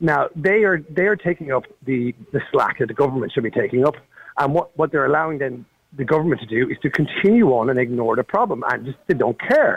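The speaker's intonation is lively and the pace fairly quick. The sound is dry and close, with no echo. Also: man, fairly high pitch for a man. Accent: Irish. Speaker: caller. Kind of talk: talk radio phone-in. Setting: phone call. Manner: halting.

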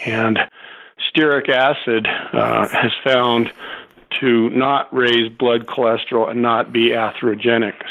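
Over noticeable background noise, a man with an American accent talks at a fairly slow pace in a medium pitch, with monotone, flat intonation and very even loudness. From US, Southern California. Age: 60s. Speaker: nutrition researcher and author. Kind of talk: interview. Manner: hesitant, filler words.

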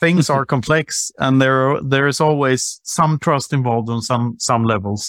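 A plain, everyday voice with ordinary pitch variation speaks at a moderate pace with hardly any pauses, in a dry, close sound with no echo. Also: man, medium pitch for a man. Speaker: podcast co-host. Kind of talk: casual interview conversation.

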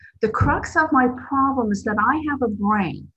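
A woman with an American accent, an unremarkable speaking voice, a fairly slow pace and ordinary pitch variation. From New Jersey. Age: 60s. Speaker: twelve-step meeting speaker and sponsor. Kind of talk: recovery talk. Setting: video call.

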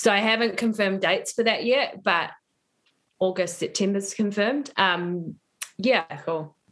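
At a moderate pace, a woman speaks at a medium pitch with ordinary pitch variation in a plain, everyday voice. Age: 30s. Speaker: yoga and embodiment coach. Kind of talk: interview conversation.

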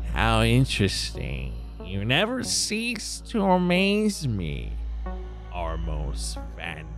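A man in a put-on character voice, speaking very slowly over clear background music. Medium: actual play. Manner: menacing, seething, gloating.

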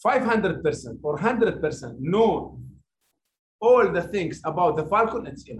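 A man speaks in an Arabic accent at a high pitch. His pitch swings very widely. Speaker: heritage centre chief executive. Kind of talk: webinar talk. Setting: video call. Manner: halting.

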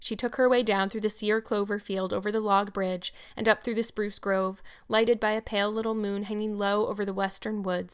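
This is plain reading aloud. The delivery stays that way throughout.

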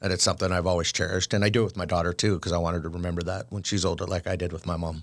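Over a very clean recording with a silent background, a man with a very deep, low pitch speaks very fast in a monotone, flat intonation, with hardly any pauses. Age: 40s. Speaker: chef. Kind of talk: casual interview chat.

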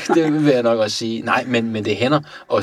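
A man with a medium pitch. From Iran (Tehran). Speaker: natural history taxidermist. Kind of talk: casual interview.

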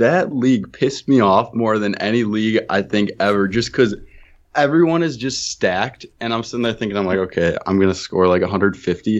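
At a fairly quick pace, a man speaks in a normal speaking voice, fairly low in pitch, with ordinary pitch variation. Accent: American. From Wisconsin. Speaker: fantasy football podcaster. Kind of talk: casual chat.

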